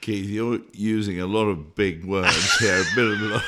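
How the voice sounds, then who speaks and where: A man with a British accent at a moderate pace, fairly even in intonation, over noticeable background noise. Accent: Queen's English, Oxbridge-type British. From Scotland. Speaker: artist and illustrator. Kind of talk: interview conversation. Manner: halting, many fillers.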